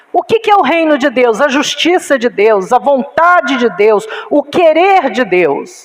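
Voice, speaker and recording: A woman's high voice at a very slow pace, with very wide pitch swings and noticeable background noise. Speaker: pastor. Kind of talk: sermon.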